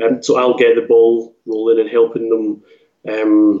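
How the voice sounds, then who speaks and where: A man speaks in a Scottish accent at a fairly slow pace. His medium pitch stays monotone, with flat intonation. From Scotland; Glasgow. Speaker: author. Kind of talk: casual interview chat. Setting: remote call.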